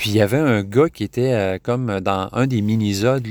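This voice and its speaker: In a slight Québécois accent, a man speaks at a fairly slow pace and a fairly low pitch, captured dry and close with no echo in a very clean recording with a silent background. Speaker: podcast host. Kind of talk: casual solo podcast talk. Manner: halting, many fillers and repetitions.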